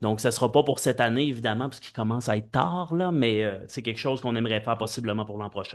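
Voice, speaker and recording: A man talking at a very fast pace with hardly any pauses. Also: medium pitch for a man, ordinary pitch variation. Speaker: mayor chairing council meeting. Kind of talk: municipal council meeting. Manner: loud. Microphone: too loud when close to mic.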